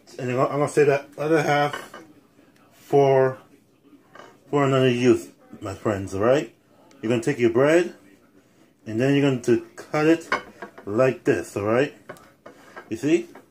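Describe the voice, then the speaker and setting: Ordinary pitch variation marks a man speaking at a fairly slow pace with long, frequent pauses. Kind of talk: cooking tutorial. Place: kitchen. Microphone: phone near.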